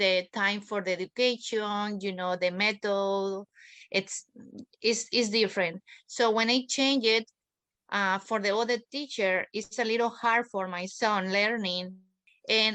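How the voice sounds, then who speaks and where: A woman with a Spanish accent speaks at a fairly slow pace with medium pitch, a bright, sharp tone and fairly even intonation, in a dry, close sound with no echo against a quiet background. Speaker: parent. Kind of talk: interview. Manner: halting.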